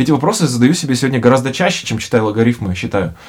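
A man talks in a somewhat breathy voice with lively intonation. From Russia (born in Bishkek, moved at age 3.5). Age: 30s. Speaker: podcast host. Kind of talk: casual chat. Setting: studio.

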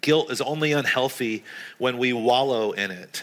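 Here is a man with an American accent and a medium-pitched voice. His tone is bright and sharp, with ordinary pitch variation. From US South, North Carolina. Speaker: pastor. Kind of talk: sermon.

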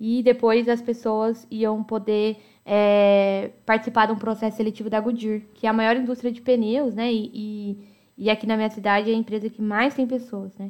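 Her pitch sits fairly high for a woman. The intonation is monotone and flat. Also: moderate pace. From Americana, São Paulo state, Brazil. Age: 20s. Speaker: podcast host. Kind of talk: personal storytelling monologue.

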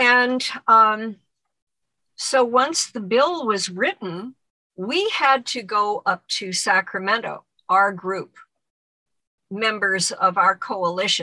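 A woman with a fairly high pitch and a bright, sharp tone speaks very slowly, with long, frequent pauses and ordinary pitch variation. The sound is dry and close, with no echo. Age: 70s. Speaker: former model, abuse survivor. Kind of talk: interview testimony. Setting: video call.

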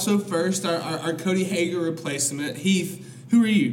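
A man with an American accent speaks in a high pitch at a moderate pace. Noticeable background noise runs underneath. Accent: Alabama accent, getting stronger. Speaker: podcast host. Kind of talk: casual chat. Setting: studio.

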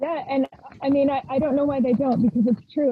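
A woman with an American accent at a very fast pace, with ordinary pitch variation. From rural Idaho, US. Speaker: violinist. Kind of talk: interview.

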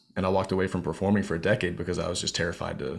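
A man talks at a very fast pace in a fairly low pitch, on a very clean recording with a silent background. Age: 30s. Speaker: speaker and fear coach, former country singer and race car driver. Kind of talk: casual interview.

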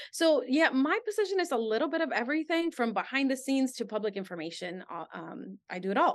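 Against a quiet background, a woman with a Spanish accent talks at a very fast pace with hardly any pauses, her high pitch making very wide swings. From Guatemala. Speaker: fire department communications specialist. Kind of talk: interview.

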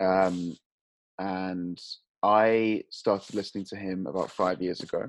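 The delivery is fairly slow and in a British accent. Intonation stays fairly even. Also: man, very deep, low pitch for a man. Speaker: podcast host. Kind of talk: casual chat.

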